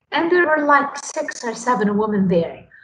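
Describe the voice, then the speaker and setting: A woman with a Lebanese accent speaks in a somewhat breathy voice. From Lebanon. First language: Arabic. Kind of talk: interview.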